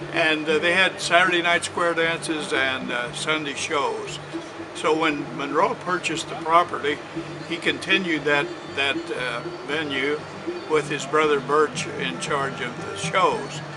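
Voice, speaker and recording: With an American accent, a man speaks at a fairly high pitch and a fairly slow pace with fairly even intonation, amid noticeable background noise and audible room echo. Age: 80s+. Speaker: retired police officer. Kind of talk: interview storytelling. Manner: halting, with many fillers.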